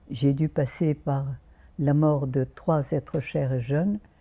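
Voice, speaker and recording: Her voice is very deep and low for a woman, with a dark, mellow tone. She is somewhat breathy and shows ordinary pitch variation. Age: 90s. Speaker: naturopath. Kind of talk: interview. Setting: outdoors.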